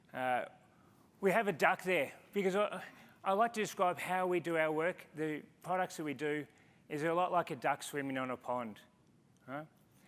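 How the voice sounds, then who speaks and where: At a moderate pace with long, frequent pauses, a man with an Australian accent speaks in a high pitch with ordinary variation. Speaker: conference speaker, engineer in business development. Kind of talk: conference talk.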